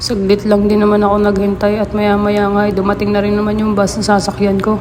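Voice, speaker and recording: A woman's medium-pitched voice in monotone, flat intonation at a fairly quick pace, very even in loudness, with audible room echo and noticeable background noise. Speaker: vlogger. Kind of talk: vlog narration. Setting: outdoors.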